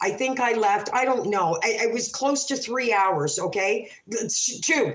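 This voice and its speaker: A plain, everyday voice from a woman, fairly high in pitch, fairly slow, with lively intonation. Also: very even loudness. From Canada. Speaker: livestreamer telling stories. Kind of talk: casual livestream storytelling.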